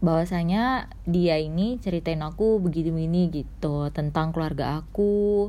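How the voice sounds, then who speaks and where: A woman with a dark, mellow tone and fairly low pitch speaks at a moderate pace with ordinary pitch variation and hardly any pauses, in a room with audible echo. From Medan, North Sumatra, Indonesia. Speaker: podcaster. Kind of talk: personal storytelling monologue. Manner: rambling, filler-heavy casual speech.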